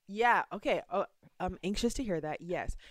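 In a very clean recording with a silent background, a woman with an ordinary speaking voice and an American accent talks at a medium pitch and moderate pace with ordinary pitch variation. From US, suburban. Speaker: friendship expert and author. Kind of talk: interview.

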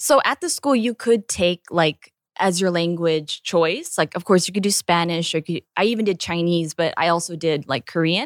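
A woman speaks in an unremarkable speaking voice with a General American accent, fairly low in pitch and with ordinary pitch variation. Her moderate pace has hardly any pauses, and the sound is dry and close with no echo. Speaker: actress. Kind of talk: casual chat.

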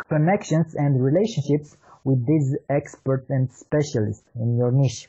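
A man with a Romanian accent speaks at a fairly slow pace. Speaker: marketing consultant. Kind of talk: interview.

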